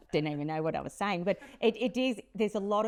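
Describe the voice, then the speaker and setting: Against a quiet background, a woman speaks at a very fast pace in an animated tone. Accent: strong Australian. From Australia. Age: 50s. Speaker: podcast host. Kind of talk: interview.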